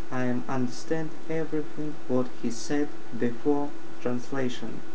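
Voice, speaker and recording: At a fairly slow pace and with ordinary pitch variation, a man talks over noticeable background noise. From Russia. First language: Russian. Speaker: IT support worker. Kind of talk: casual talk to camera. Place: home room. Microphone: webcam.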